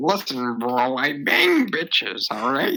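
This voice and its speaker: A man in a put-on character voice, medium in pitch, at a fairly slow pace. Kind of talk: casual, bro talk. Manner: crude, cocky.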